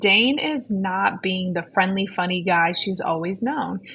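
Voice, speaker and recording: A woman speaks at a medium pitch in a somewhat breathy voice. Her intonation is lively. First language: not English. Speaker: book podcast co-host. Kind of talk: casual book discussion.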